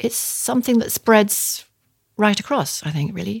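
A woman speaks at a moderate pace in a medium pitch with lively intonation and a somewhat breathy quality, recorded very cleanly against a silent background with a dry, close sound and no echo. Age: 70s. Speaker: ceramic artist. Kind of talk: interview.

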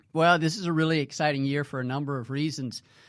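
A man with an American accent at a very fast pace, fairly even intonation, against a quiet background. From US South, north central Mississippi. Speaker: waterfowl conservation biologist. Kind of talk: casual interview.

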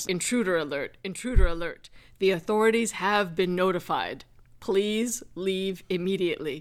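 A loud, booming, female-sounding put-on character voice at middle pitch and moderate pace, on a very clean recording with a silent background. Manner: loud, authoritative.

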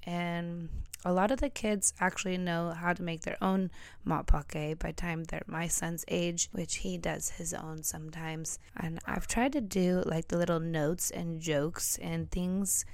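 An unremarkable speaking voice from a woman with an American accent, fairly low in pitch, at a fairly slow pace. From United States. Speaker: podcast host. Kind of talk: solo monologue. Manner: casual, conversational.

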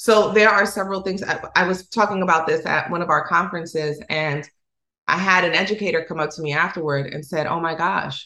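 A woman with a fairly low pitch and a bright, sharp tone speaks at a moderate pace with fairly even intonation. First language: Spanish. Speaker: education director and former teacher. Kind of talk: interview.

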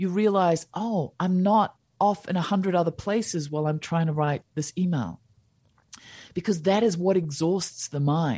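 A woman with a New Zealand accent speaks in a dark, mellow tone at a fairly low pitch. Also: ordinary pitch variation, moderate pace. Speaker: happiness coach and teacher. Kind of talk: podcast interview. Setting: remote call.

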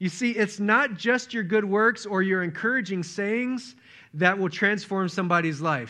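A man projects a raised voice, high-pitched with a bright, sharp tone, at a moderate pace with ordinary pitch variation. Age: 40s. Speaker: pastor. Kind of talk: sermon.

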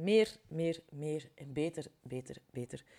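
This woman speaks with a Flemish accent at a fairly low pitch. Her tone is dark and mellow. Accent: Flemish Dutch. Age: 40s. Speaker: life coach and podcast host. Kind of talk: solo podcast monologue. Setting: home recording with window open.

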